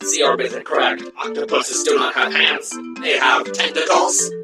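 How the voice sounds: A woman does a cartoonish character voice with an extremely low pitch and a bright, sharp tone. She speaks at a fairly slow pace over faint music in the background. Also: ordinary pitch variation.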